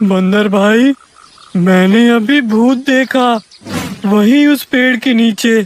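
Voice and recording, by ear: The speaker uses a cartoonish character voice at a fairly high pitch. The pace is very slow.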